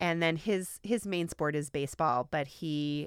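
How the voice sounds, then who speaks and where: A woman with an American accent and a plain, everyday voice speaks at a moderate pace with fairly low pitch and ordinary pitch variation, in a dry, close sound with no echo on a very clean recording with a silent background. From rural Midwestern US. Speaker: associate dean and communication professor. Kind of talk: interview.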